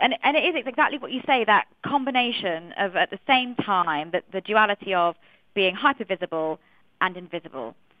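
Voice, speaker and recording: Speaking at a moderate pace with a Manchester accent, a woman has a medium pitch and very wide pitch swings. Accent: British English, Manchester. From Manchester, northern England. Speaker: journalist and curator. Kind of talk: radio panel discussion. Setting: phone line to radio studio.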